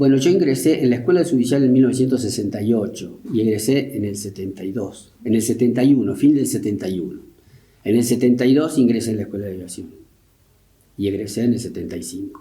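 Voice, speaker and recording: A man talks at a very fast pace, at medium pitch with ordinary pitch variation. His voice is somewhat breathy, and audible room echo surrounds it. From Argentina, Río Tercero (Córdoba). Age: 70s. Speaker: war veteran. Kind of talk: interview. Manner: halting.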